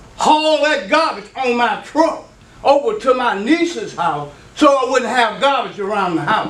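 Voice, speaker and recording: A man's extremely high voice carries an animated tone and very wide pitch swings, with noticeable background noise and audible room echo. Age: 70s. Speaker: resident speaking at city council. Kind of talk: public comment at meeting.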